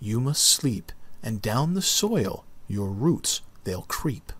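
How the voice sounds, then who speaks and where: A man does a put-on character voice at medium pitch, speaking very slowly. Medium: read story. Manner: soft, tender.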